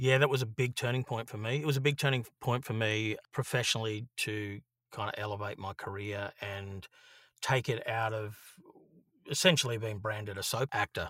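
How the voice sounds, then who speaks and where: A man with an Australian accent, medium pitch and a bright, sharp tone, at a fairly quick pace with ordinary pitch variation, on a very clean recording with a silent background and a dry, close sound with no echo. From Australia, Brisbane (Queensland). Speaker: actor and filmmaker. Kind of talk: casual chat. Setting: home recording booth.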